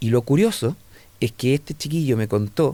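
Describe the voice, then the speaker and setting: Speaking with a dark, mellow tone, a man with a fairly high pitch for a man shows ordinary pitch variation. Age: 60s. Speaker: entomologist and science educator. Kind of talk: radio interview conversation. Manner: animated.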